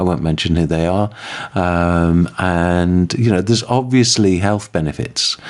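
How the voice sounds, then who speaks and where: A man's very deep, low voice moves at a fairly slow pace over noticeable background noise. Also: ordinary pitch variation. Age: 50s. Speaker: podcast host. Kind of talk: casual chat.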